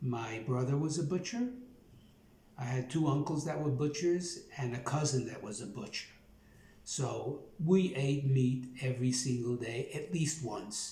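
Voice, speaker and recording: Somewhat breathy, a man with a Brooklyn accent and a dark, mellow tone speaks at a fairly high pitch and fairly slow pace with ordinary pitch variation and audible room echo. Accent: Brooklyn New York. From New York, Brooklyn. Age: 70s. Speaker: plant-based nutrition YouTuber. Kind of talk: casual monologue, joke telling then personal story. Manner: casual, many filler words.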